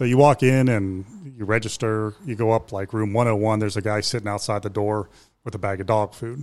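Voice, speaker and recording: In an American accent, a man with a normal speaking voice talks at a fairly quick pace and fairly low pitch on a very clean recording with a silent background. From Ohio, Youngstown. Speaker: business owner. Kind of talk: interview.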